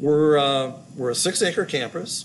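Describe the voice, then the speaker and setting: A man speaks at a fairly slow pace. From Los Angeles, California. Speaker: school facilities director. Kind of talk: casual interview.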